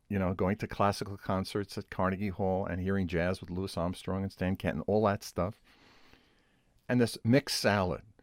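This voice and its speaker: On a very clean recording with a silent background, a man speaks at a fairly low pitch and moderate pace, the sound dry and close with no echo. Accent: Brooklyn. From New York City, Brooklyn. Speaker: interview host, composer. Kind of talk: interview conversation.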